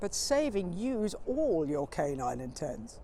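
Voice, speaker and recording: At a very slow pace, a woman speaks in a playful tone. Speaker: comic poet, spoken word performer. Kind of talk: comic verse poetry performance. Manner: rhythmic, playful, wry.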